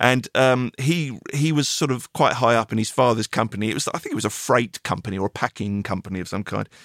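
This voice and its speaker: Someone with an English accent talks at a very fast pace with hardly any pauses. The pitch varies in an ordinary way, and the sound is dry and close with no echo. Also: man, medium pitch for a man. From England. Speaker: podcast host and musician. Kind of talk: casual interview. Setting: video call.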